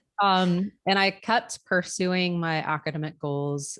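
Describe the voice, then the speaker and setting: A woman talks with a slight Chicago accent. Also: quiet background. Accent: slight Chicago-area. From Florida, US. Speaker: neonatal nurse practitioner and nursing professor. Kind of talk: interview. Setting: video call.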